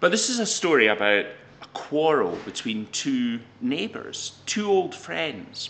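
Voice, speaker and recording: A man speaks at a fairly slow pace. His pitch swings very widely. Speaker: professional storyteller. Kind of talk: storytelling, folk tale told to camera with a short intro.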